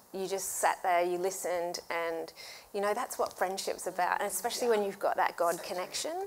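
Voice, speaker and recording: A woman speaks in a strong Australian accent. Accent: Australian, still strong after 18 years. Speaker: church women's ministry host. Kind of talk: casual chat.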